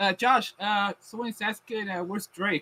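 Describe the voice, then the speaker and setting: With a Puerto Rican accent, a man uses a raised, projected, high-pitched voice with a bright, sharp tone and fairly even intonation, recorded with a dry, close sound and no echo. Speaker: anime podcast host. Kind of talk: casual chat. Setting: live stream. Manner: halting, many fillers.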